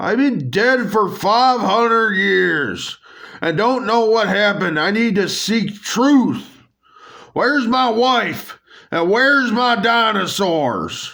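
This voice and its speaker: Using a put-on character voice, a man speaks high, fairly slowly and at a very even loudness, with ordinary pitch variation and audible echo. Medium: solo performance. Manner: brash, emphatic.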